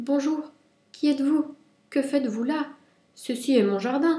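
A woman's high-pitched, put-on character voice. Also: moderate pace. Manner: timid, frightened.

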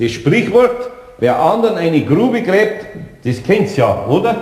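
Big pitch swings mark a put-on character voice with a slightly mellow tone, delivered at a slow pace amid strong room echo. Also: man, high pitch for a man.

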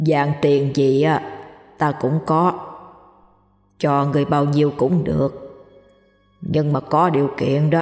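A put-on character voice at a low-to-middle pitch, with a slight echo and long, frequent pauses. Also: fairly slow pace. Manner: sly.

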